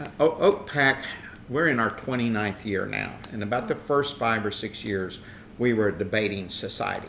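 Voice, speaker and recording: Noticeable background noise sits behind a man's voice. He speaks at a medium pitch and moderate pace, with ordinary pitch variation. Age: 70s. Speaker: political activist. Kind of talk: interview.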